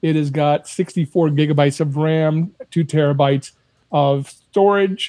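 Delivered at a moderate pace, an unremarkable speaking voice holds very even loudness and fairly even intonation. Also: man, fairly high pitch for a man. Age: 60s. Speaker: saxophonist and audio engineer. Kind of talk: casual chat.

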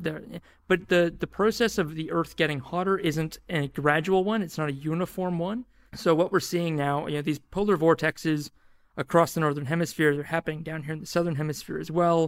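On a very clean recording with a silent background, a man speaks at a high pitch. His pace is fairly quick and his intonation fairly even. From New Zealand. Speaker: podcast publisher and climate podcaster. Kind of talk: interview chat.

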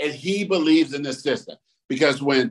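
This man has an unremarkable speaking voice and lively intonation. He talks at a moderate pace. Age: 50s. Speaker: podcast co-host and published author. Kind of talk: casual chat.

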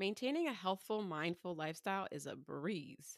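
A woman with an American accent uses a plain, everyday voice at a medium pitch, moderate pace and lively intonation. The recording is very clean, with a silent background and a dry, close sound with no echo. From US Northeast, Philadelphia suburbs. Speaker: podcast host, dietitian. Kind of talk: reading aloud a personal essay.

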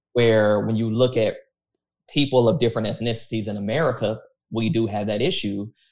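A man with a plain, everyday voice talks at medium pitch and a fairly quick pace, his intonation fairly even. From Texas, born in Los Angeles suburbs. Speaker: pastor. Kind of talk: casual interview conversation.

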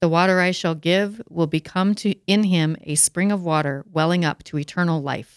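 A woman with an ordinary speaking voice talks at a moderate pace with hardly any pauses. Her intonation is fairly even, and the sound is dry and close with no echo. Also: fairly low pitch for a woman. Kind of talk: casual discussion, reading scripture aloud.

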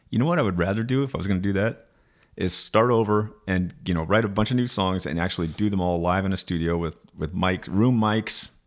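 A man in an ordinary speaking voice with an American accent, fairly low pitch, ordinary pitch variation and a fairly quick pace. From Arizona (Flagstaff). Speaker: musician. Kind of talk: casual chat.

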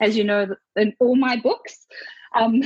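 The speaker has a South African accent and fairly even intonation. The sound is dry and close, with no echo. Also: woman. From Zimbabwe. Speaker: author. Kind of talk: casual interview chat.

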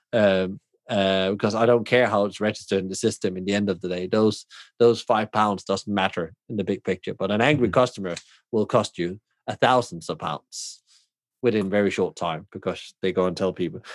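A man with a Danish accent speaks at a fairly low pitch and a fairly quick pace, with fairly even intonation. The recording is very clean with a silent background, and the sound is dry and close with no echo. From southern Denmark. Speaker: hospitality consultant and podcaster. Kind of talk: casual chat.

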